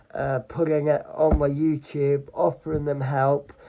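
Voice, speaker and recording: A man's flat, monotone delivery at a fairly slow pace, with noticeable background noise. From England. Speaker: vlogger and charity fundraiser. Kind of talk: casual vlog talk.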